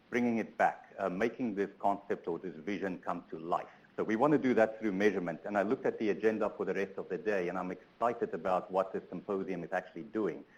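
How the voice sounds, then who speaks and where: With a South African accent, a man talks at a very fast pace. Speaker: transportation sustainability researcher. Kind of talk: conference keynote talk. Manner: hesitant, many fillers.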